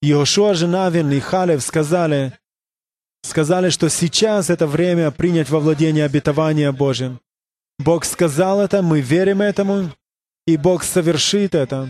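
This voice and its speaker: At a fairly slow pace with long, frequent pauses, a man speaks with very even loudness and ordinary pitch variation. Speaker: preacher. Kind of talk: sermon. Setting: church; interpreted live to Russian.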